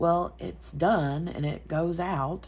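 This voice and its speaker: A woman is speaking. The room echo is audible. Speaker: crafting YouTuber. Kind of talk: casual chat while crafting. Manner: talking lower than normal.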